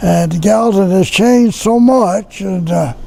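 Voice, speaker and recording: The speaker talks with an American accent. Noticeable background noise and audible room echo are present. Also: man. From Tennessee. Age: 90s. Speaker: war veteran. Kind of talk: casual chat.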